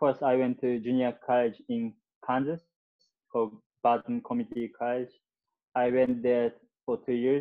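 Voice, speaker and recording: Speaking at a moderate pace with a Japanese accent, a man keeps a monotone, flat intonation and takes long, frequent pauses. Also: medium pitch for a man. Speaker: soccer player. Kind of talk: interview. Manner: halting.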